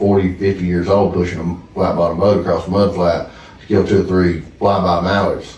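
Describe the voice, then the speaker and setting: A fairly low-pitched man with a Southern US accent at a moderate pace, amid noticeable background noise and audible room echo. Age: 30s. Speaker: duck hunting land owner. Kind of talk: casual chat.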